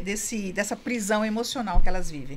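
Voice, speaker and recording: A woman with an unremarkable speaking voice talks at a fairly quick pace, her pitch fairly high. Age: 60s. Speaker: couples therapist and women's coach. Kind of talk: podcast interview.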